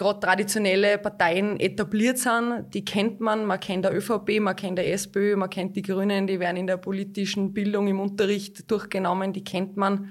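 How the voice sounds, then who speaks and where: Speaking at a moderate pace, a woman keeps her medium pitch monotone, with flat intonation. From Austria, Hallein (Salzburg). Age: 30s. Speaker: local politician. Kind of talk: interview.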